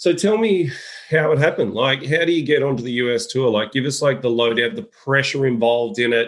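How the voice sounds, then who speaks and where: This man with an Australian accent talks at a fairly quick pace and a medium pitch. His intonation is lively. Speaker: podcast host and golf coaching company head. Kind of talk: casual chat.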